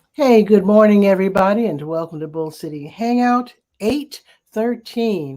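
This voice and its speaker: With a dark, mellow tone, a woman speaks at a moderate pace with ordinary pitch variation. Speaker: community newspaper publisher hosting a weekly live show. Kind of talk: casual live-stream chat. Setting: live video stream on camera. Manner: talking a little softer.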